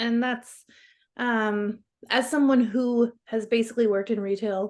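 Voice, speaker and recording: Delivered at a fairly slow pace in an American accent, the monotone, flat intonation comes through on a very clean recording with a silent background. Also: woman. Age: 30s. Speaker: clothing designer and shop owner. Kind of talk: casual chat.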